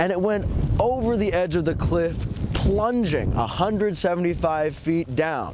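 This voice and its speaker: High-pitched male speech with ordinary pitch variation, noticeable background noise behind it. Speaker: multimedia journalist, TV news reporter. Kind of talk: TV news reporter stand-up and package narration. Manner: brisk, on-location live reporting.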